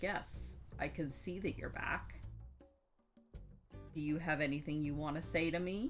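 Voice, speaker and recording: A raspy, put-on character voice sits in a low-to-middle pitch and moves at a moderate pace with long, frequent pauses. Faint music plays in the background. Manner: stern.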